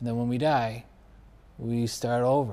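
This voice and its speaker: Fairly level intonation and a dark, mellow tone mark a man who speaks with an American accent. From US Northeast (Buffalo, New York). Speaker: podcast host and actor. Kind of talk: casual chat.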